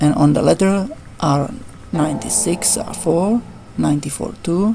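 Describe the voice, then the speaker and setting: Her pace is fairly slow, and noticeable background noise sits behind her. The woman has a fairly low pitch, ordinary pitch variation and a non-native accent. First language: not English. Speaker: gaming YouTuber. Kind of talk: tutorial. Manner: halting. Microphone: poor voice recording.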